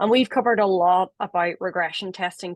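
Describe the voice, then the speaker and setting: A woman with an Irish accent talks at a moderate pace and medium pitch, with ordinary pitch variation. The sound is dry and close with no echo, over a quiet background. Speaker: webinar moderator. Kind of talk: webinar panel discussion.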